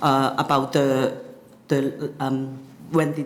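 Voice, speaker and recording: Noticeable background noise accompanies a woman whose pitch is very deep and low. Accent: Cantonese. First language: Cantonese. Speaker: YouTuber. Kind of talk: interview. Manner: halting, many fillers.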